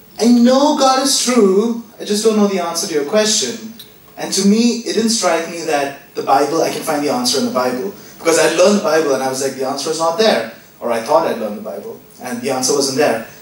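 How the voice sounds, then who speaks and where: A high-pitched man's voice with very wide pitch swings at a fairly quick pace, amid audible room echo and noticeable background noise. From Indian community in Oman, family from Kerala. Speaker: church member. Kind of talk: testimony.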